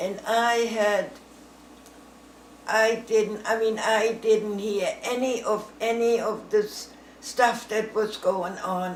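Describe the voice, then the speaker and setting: Speaking at a very slow pace, a woman with a fairly high voice holds a monotone, flat intonation. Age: 80s+. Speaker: grandmother telling war memories. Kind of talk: casual storytelling to family, interview answer. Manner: conversational, rambling, halting, with fillers.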